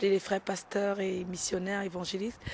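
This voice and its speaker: A woman is speaking. Her pace is moderate. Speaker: church member. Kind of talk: testimony. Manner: halting.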